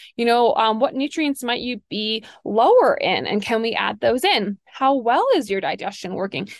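With hardly any pauses, a woman speaks at a moderate pace in a fairly high pitch and lively intonation, using a plain, everyday voice. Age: 30s. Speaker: functional health coach and podcast host. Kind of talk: casual solo podcast monologue.

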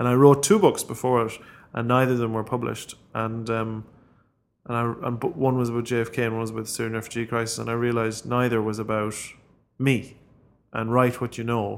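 In an Irish Midlands accent, a man talks at medium pitch with monotone, flat intonation. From Ireland, County Longford. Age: 30s. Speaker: author. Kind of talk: interview.

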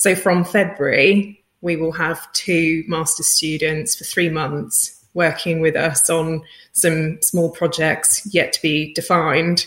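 This woman has a British accent and a fairly low pitch. She speaks at a very slow pace. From Britain. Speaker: head of data science. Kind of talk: interview.

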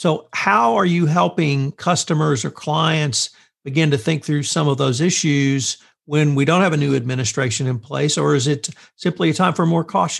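Somewhat breathy, a man speaks with an American accent at a moderate pace. His pitch is fairly high, with ordinary variation. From central Texas. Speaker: podcast interviewer. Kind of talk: interview.

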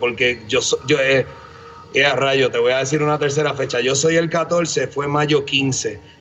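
Over noticeable background noise, a man speaks at a very slow pace in a fairly high pitch. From Puerto Rico, Bayamón. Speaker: head brewer. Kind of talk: casual interview chat.

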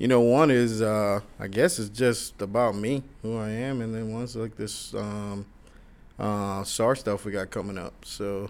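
A man with a plain, everyday voice speaks fairly slowly at a fairly low pitch, keeping his intonation fairly even. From Florida (moved from Queens, New York at nine). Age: 30s. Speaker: podcast host, retired firefighter-paramedic. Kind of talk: casual chat.

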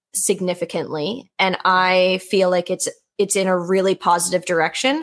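Medium-pitched female voice on a very clean recording with a silent background. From Nova Scotia, Canada. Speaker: horse podcast host, panelist. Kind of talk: casual roundtable discussion.

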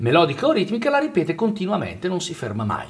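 A man with a high voice talks at a very fast pace against noticeable background noise. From northern Italy, Valle Camonica (Lombardy). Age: 50s. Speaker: jazz vocalist. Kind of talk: interview. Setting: radio studio.

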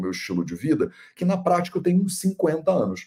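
Using a dark, mellow tone with vocal fry, a man speaks at a moderate pace with very wide pitch swings. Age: 30s. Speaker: Ayurveda teacher and video podcast host. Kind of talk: casual solo commentary on a video. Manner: animated.

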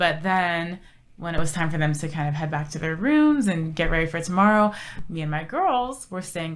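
A woman's fairly low-pitched voice with an American accent, with audible room echo. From Southern California, Orange County. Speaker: TV lifestyle co-host and reporter. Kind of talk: casual interview chat. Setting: studio, on camera.

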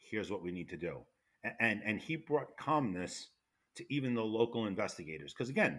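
Speaking in a New York accent, a man keeps a fairly low pitch with very wide swings. His pace is fairly quick. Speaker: retired federal fire investigator. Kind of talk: interview. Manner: loud.

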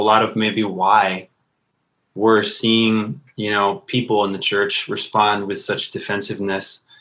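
A man's fairly low, monotone voice in an American accent, bright and sharp in tone, at a fairly slow pace. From US Midwest, northwest suburbs of Chicago. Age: 30s. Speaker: worship pastor and musician. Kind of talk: casual conversation. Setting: internet call.

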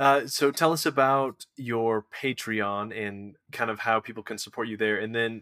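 Dry and close with no echo, the recording captures a man with a normal speaking voice talking fairly slowly at a medium pitch with fairly even intonation. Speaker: podcast host. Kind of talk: casual interview.

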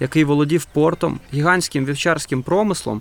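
Using a normal speaking voice, a man talks at a fairly high pitch and a moderate pace with ordinary pitch variation. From Ukraine, Donetsk. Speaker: film director, podcast co-host. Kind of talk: scripted narration.

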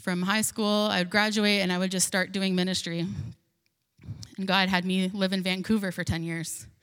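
With a monotone, flat intonation and medium pitch, a woman speaks at a moderate pace in a room with audible echo. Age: 40s. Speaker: pastor. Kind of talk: sermon.

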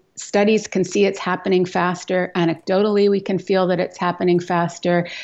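A woman speaks in a Canadian accent at a medium pitch, with ordinary pitch variation. Hers is a plain, everyday voice. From Western Canada (Edmonton, Alberta). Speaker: climate activist, author and professor. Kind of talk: radio interview.

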